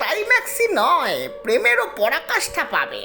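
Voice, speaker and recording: This is a put-on character voice. It sounds gruff. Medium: audio drama. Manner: gruff, scolding.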